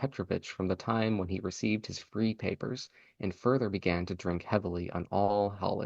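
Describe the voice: Simply plain reading aloud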